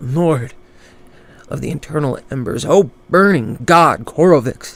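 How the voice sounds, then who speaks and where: A man puts on a character voice, fairly high in pitch for a man, raised and projected yet shaky, delivered at a fairly slow pace. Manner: fearful, reverent.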